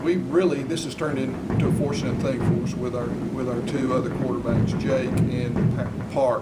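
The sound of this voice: Over clear background noise, a man speaks at a moderate pace and medium pitch with fairly even intonation.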